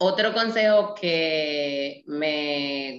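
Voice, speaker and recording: Here is a woman speaking. Her voice is very deep and low. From Dominican Republic, Nagua. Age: 30s. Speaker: mother, project creator. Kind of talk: casual interview. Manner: talkative.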